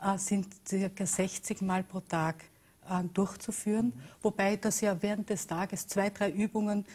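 A woman speaks with a dark, mellow tone and a somewhat breathy quality, her intonation fairly even. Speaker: talk show guest. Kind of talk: interview answer. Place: studio.

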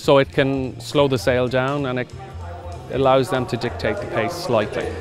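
Clear music plays in the background while a man speaks at a moderate pace with ordinary pitch variation, in a dry sound with no echo. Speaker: auctioneer. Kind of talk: interview answer. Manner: conversational, reflective. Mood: relaxed, slightly amused. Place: open country.

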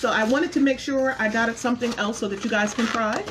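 A woman talks with ordinary pitch variation. Noticeable background noise runs underneath. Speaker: food reviewer vlogger. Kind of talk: casual vlog chat. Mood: pleased, enthusiastic. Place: home room. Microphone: phone near.

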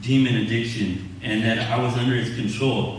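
Over light background noise and strong room echo, a man with an American accent speaks at a medium pitch and moderate pace with ordinary pitch variation. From Southern California, Inland Empire; Southern California. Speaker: church member being baptized; candidate. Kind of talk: testimony. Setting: church service. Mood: earnest, confessional. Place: church.

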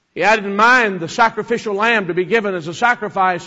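A man speaks with a high pitch and a bright, sharp tone. His pace is moderate. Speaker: preacher. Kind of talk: sermon preached to a congregation.

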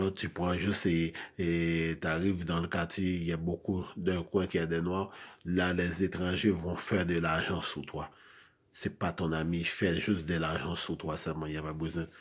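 A man with a very deep, low pitch talks at a fairly slow pace in a monotone, flat intonation. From Haiti. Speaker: video blogger. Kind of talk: monologue rant. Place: home room. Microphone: phone near.

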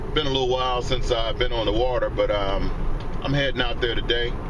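Fairly quick speech from a man, with background noise clearly audible. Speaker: fishing vlogger. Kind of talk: casual vlog chat. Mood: relaxed, upbeat. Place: car. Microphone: phone near.

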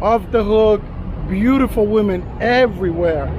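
Through noticeable background noise, a man speaks at a fairly slow pace in a high pitch with fairly even intonation. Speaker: travel vlogger. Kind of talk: casual vlog chat. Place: street. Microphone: phone near.

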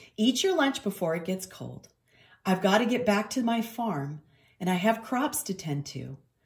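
Plain reading aloud carries lively intonation.

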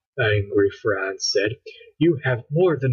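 Plain reading aloud against a quiet background.

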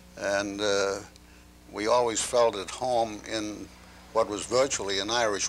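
With a Maine accent, a man speaks at a fairly low pitch over light background noise. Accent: Maine New England. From Portland, Maine, USA. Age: 80s+. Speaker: antiquarian book dealer. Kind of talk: interview answer. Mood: reflective, unhurried recollection. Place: home room. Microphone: lapel.

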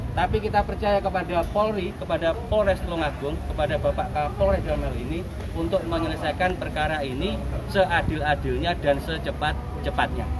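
Talking at a fairly quick clip, a man is heard over noticeable background noise. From East Java, Indonesia. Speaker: Banser commander. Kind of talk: press statement. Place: street. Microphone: camera far.

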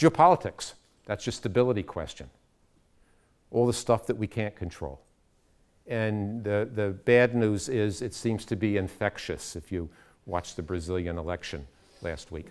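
A man speaks with an American accent at a fairly low pitch. His moderate pace includes long, frequent pauses. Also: quiet background. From United States. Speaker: education consultant; speaker. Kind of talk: lecture. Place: classroom.

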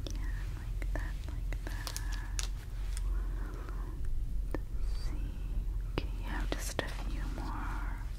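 A woman speaks at a very slow pace. Her pauses are long and frequent. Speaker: ASMR creator. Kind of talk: ASMR personal attention roleplay. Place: home room. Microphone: studio mic.

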